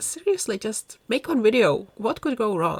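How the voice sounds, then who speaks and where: With music playing in the background, a woman with a Czech accent speaks fairly slowly at a fairly high pitch. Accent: Czech accent, noticeable. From Czech Republic. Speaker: gaming YouTuber. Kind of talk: casual vlog commentary over gameplay. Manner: hesitant, many fillers.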